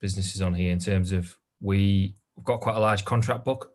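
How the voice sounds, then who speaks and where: A man's fairly low, somewhat breathy voice in a Geordie accent, fairly quick with fairly even intonation, on a very clean recording with a silent background. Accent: northern English (Geordie). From northern England, Newcastle. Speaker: recruitment business owner. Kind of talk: interview. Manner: hesitant, many fillers.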